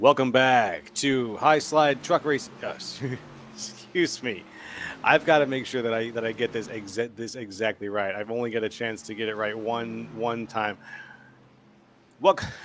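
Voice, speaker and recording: A man with a medium pitch and ordinary pitch variation speaks at a moderate pace, leaving long, frequent pauses. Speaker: esports race commentator. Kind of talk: live commentary. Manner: giggly, laughing.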